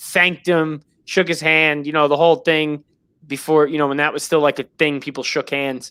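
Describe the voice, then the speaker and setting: In a very clean recording with a silent background, a man with a New York accent speaks at a moderate pace, his fairly high voice bright and sharp in tone with fairly even intonation. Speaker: sports podcast host. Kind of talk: show sign-off; casual chat.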